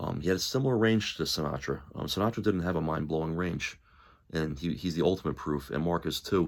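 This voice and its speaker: Very deep, low male voice with vocal fry, ordinary pitch variation and a fairly quick pace. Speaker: musician and music commentator. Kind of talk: casual monologue. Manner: halting, many fillers; enthusiastic.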